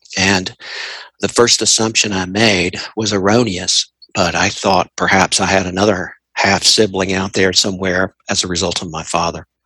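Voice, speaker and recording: With a Southern US accent, a man speaks at a very deep, low pitch in a monotone, flat intonation, with a dry, close sound and no echo. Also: moderate pace. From Tennessee. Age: 50s. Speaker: interviewee sharing personal story. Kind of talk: interview. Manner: reflective, measured; hesitant with repetitions.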